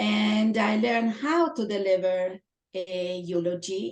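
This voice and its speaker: Ordinary pitch variation marks the woman's medium-pitched speech. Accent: strong Italian. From Italy. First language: Italian. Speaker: toastmasters club member. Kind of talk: interview.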